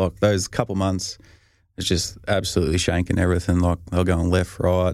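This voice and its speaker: A man talks at a fairly quick pace with a strong Australian accent, his pitch very deep and low and his intonation monotone and flat. The recording is very clean, with a silent background. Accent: broad Australian. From Australia, rural north-east Victoria. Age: 30s. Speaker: professional football punter. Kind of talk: casual interview.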